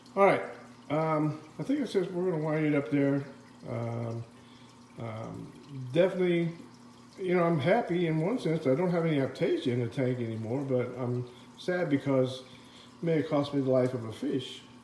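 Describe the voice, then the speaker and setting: With long, frequent pauses, a man speaks at a moderate pace and a fairly high pitch, with ordinary pitch variation. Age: 60s. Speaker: aquarium hobbyist vlogger. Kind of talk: casual video update. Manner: halting with many fillers.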